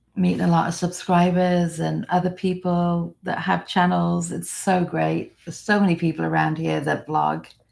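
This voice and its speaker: A woman with an American accent at a moderate pace with hardly any pauses, on a very clean recording with a silent background. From England. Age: 60s. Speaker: vlogger. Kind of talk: live stream chat. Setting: live stream.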